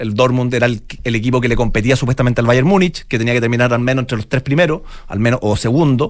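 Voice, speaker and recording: A man with a plain, everyday voice, medium in pitch, at a fairly quick pace. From Chile, Santiago. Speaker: football analytics entrepreneur. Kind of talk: interview.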